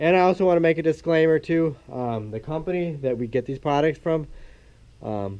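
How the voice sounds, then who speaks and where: At a moderate pace with long, frequent pauses, a man speaks in a fairly high pitch and a dark, mellow tone. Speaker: dairy farmer. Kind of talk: casual vlog update and tutorial. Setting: farm building. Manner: halting, many fillers.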